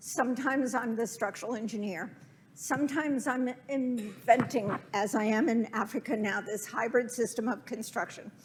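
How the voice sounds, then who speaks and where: Hers is an unremarkable speaking voice, a woman's, fairly high, with ordinary pitch variation and a moderate pace. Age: 60s. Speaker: architect. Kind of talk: lecture.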